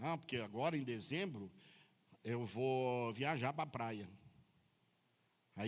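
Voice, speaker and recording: Long, frequent pauses with ordinary pitch variation. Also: man. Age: 60s. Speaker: pastor. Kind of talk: sermon. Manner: casual, joking.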